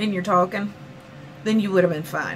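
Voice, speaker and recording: Noticeable background noise surrounds a woman speaking with a Southern US accent. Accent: southern US twang. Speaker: vlogger. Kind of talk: rant vlog. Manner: animated.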